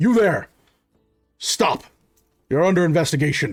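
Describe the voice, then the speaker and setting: A man puts on a raspy, high-pitched character voice at a moderate pace. Music plays in the background. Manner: commanding.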